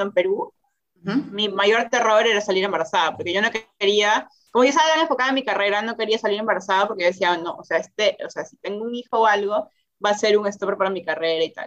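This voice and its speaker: A woman talks at a very fast pace in a medium-pitched voice with ordinary pitch variation. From Peru. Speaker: interview guest, new mother. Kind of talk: casual interview. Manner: hesitant, many repetitions and fillers.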